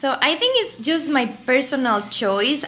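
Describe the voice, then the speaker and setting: A woman with a Mexican accent talks at a moderate pace. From Mexico City. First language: Spanish. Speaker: pediatric endocrinologist. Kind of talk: interview.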